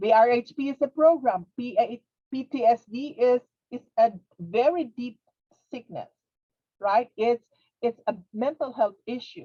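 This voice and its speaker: A woman's high voice with a non-native accent, dark, mellow tone, ordinary pitch variation, big swings in loudness, fairly slow pace and long, frequent pauses, in a dry, close sound with no echo. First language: not English. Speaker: webinar presenter, behavioral health interpreter trainer. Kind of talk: webinar lecture. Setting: webinar. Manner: halting, repetitive.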